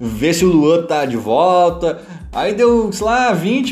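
Over noticeable background noise and audible room echo, a man speaks very slowly at a high pitch, his voice swinging very widely up and down. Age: 30s. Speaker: football podcaster. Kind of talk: casual football commentary monologue.

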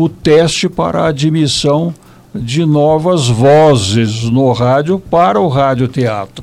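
A fairly high-pitched man at a very slow pace, with lively intonation. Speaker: retired radio broadcaster. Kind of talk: interview. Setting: recorded internet radio show.

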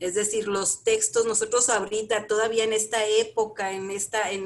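The speaker is a woman with a fairly high pitch. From northern Mexico, Chihuahua. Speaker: Buddhist practitioner. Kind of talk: interview. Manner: halting, many repetitions.

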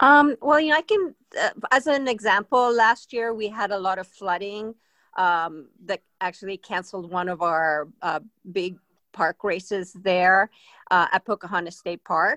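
A woman with a Spanish accent talks at a medium pitch and a moderate pace. Her tone is bright and sharp, and the sound is dry and close with no echo. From Spain. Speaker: mountain bike advocate. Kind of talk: casual interview. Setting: remote call.

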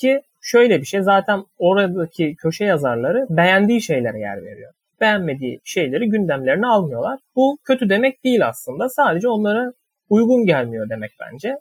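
Speaking at a moderate pace, a man with a high voice shows very wide pitch swings and big shifts in loudness. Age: 20s. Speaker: fiction writer. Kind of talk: interview. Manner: hesitant with fillers.

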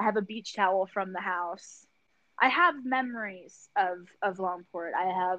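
A woman with a Philadelphia accent speaks at a fairly slow pace and medium pitch, with ordinary pitch variation. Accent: Philadelphia American. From Philadelphia, US. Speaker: podcast co-host. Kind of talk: casual chat. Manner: animated, swears casually.

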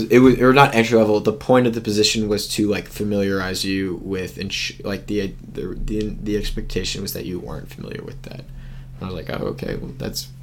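A man with an American accent at a fairly low pitch, talking at a very fast pace, with audible room echo and noticeable background noise. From US, Washington D.C. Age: 20s. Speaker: college student, ultimate frisbee player. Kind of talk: casual chat.

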